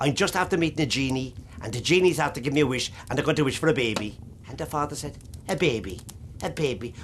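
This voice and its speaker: With a Cork accent, this voice races along at a very fast pace and uses lively intonation. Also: man. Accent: Irish, Cork. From Ireland. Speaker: traditional storyteller. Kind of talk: traditional storytelling to an audience. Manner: lively, humorous.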